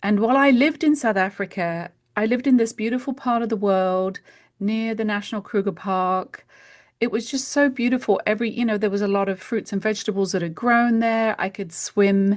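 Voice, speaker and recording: Over a quiet background, a woman with a British accent talks at a fairly quick pace and a fairly high pitch, using ordinary pitch variation. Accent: British accent, retained. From UK. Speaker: homeopath. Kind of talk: podcast interview.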